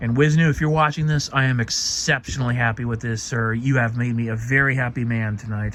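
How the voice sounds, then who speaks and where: Fairly quick speech from a man at medium pitch, with fairly even intonation over noticeable background noise. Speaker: cosplay hobbyist vlogger. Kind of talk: casual product showcase vlog. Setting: late night at home, recording himself. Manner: halting, with stutters and pauses.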